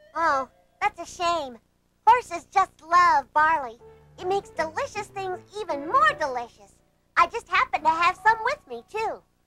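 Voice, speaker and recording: A put-on character voice at an extremely high pitch plays against faint background music. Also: moderate pace. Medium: read story.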